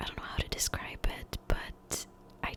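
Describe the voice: A woman whispers her words at a moderate pace.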